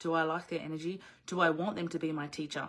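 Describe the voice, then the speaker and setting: Fairly low-pitched woman with an Australian accent. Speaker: business coach. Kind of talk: live online coaching session. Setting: video livestream. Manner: animated.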